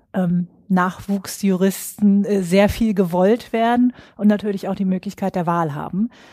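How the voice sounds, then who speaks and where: A woman speaks in a dark, mellow tone at a medium pitch, slightly slow in pace. Her intonation stays fairly even over a very clean recording with a silent background. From northern Germany (Schwerin). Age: 40s. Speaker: psychologist and HR recruiting expert. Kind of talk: interview.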